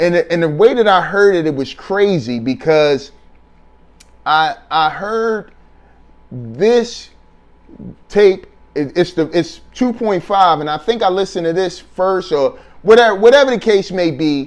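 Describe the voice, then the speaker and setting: A man's high-pitched voice with an American accent, lively intonation, a fairly slow pace and long, frequent pauses. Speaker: hip-hop album reviewer. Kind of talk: casual spoken review. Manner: unscripted, off the top of head with many fillers.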